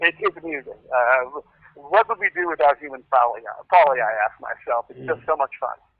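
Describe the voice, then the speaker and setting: A plain, everyday voice speaks with an American accent at a fairly quick pace. Pitch variation is ordinary, with big swings in loudness. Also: man, fairly high pitch for a man. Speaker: screenwriter. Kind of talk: interview answer.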